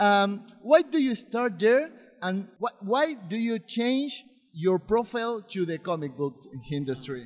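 With a Spanish accent, a man speaks at a high pitch and a fairly slow pace. His pitch swings very widely over a quiet background. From Argentina. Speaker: interviewer. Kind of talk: interview. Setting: comic convention. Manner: halting. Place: hall. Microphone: handheld.

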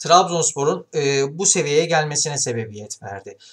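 A man is speaking with ordinary pitch variation. The background is quiet. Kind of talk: football commentary. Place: home room. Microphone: webcam.

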